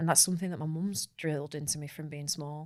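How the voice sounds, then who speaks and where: In a very clean recording with a silent background, the speaker talks at a very fast pace in a Manchester accent. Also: woman. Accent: northern English (Manchester). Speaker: marketing executive. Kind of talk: podcast interview. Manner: animated.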